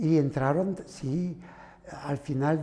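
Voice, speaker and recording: The speaker is a man. The pitch varies in an ordinary way. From southern France. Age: 70s. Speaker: son of exiled Spanish republicans. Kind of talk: testimony. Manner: halting.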